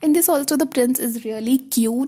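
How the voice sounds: A woman's fairly high, slightly mellow voice with ordinary pitch variation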